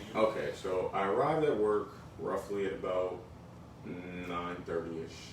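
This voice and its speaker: A man with an American accent at a moderate pace with long, frequent pauses, plus noticeable background noise and audible room echo. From northern New Jersey (Bergen County). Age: 40s. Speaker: fired restaurant worker. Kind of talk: interview.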